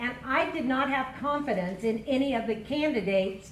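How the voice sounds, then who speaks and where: Over noticeable background noise and audible room echo, a woman with an American accent speaks loudly at a moderate pace, with a high pitch and ordinary pitch variation. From Kern County, California. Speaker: county supervisor candidate. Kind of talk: candidate forum opening statement. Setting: public forum with audience.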